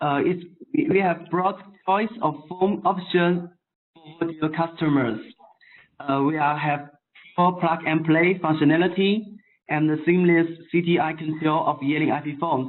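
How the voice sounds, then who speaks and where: A man with a non-native accent speaks at a moderate pace in a high voice with fairly even intonation. Long, frequent pauses break up his speech. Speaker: phone maker technical support engineer. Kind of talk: webinar product presentation. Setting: online webinar from overseas. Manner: halting, many fillers.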